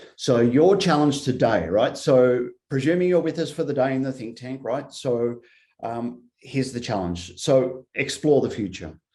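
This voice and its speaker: A man's dark, mellow voice with an American accent at a moderate pace. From Australia. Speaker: futurist consultant. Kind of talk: workshop presentation.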